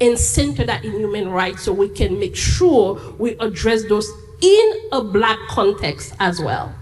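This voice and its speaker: Noticeable background noise runs through the clip. A woman speaks at a fairly slow pace. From Haiti. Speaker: immigrant rights advocate. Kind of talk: panel discussion.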